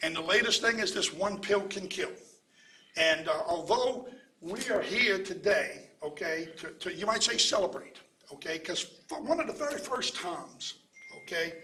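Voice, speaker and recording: A man with a high pitch projects a raised voice at a moderate pace, his pitch swinging very widely. Room echo is audible, and background noise is noticeable. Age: 70s. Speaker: pharmacist and anti-opioid advocate. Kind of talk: press conference speech. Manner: repetitive filler 'okay', some stammering.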